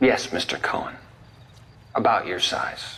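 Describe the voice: A man puts on a character voice with a bright, sharp tone, low pitch and big pitch swings, speaking at a fairly slow pace.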